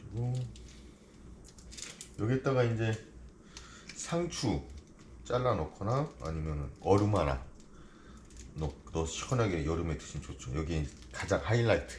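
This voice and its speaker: Noticeable background noise sits under a fairly slow delivery with long, frequent pauses. The pitch swings very widely. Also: man, very deep, low pitch for a man. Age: 50s. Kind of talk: casual cooking commentary.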